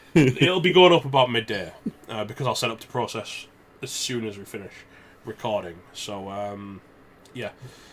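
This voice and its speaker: A man with a Scottish accent talks at a moderate pace and medium pitch, with lively intonation, big swings in loudness, long, frequent pauses and noticeable background noise. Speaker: podcast co-host commentating on fantasy football league. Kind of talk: casual chat.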